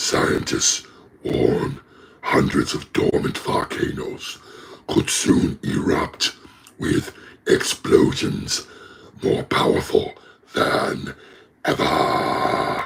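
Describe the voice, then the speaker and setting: Doing a put-on character voice at an extremely high pitch, a man speaks very slowly with long, frequent pauses. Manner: dramatically ominous.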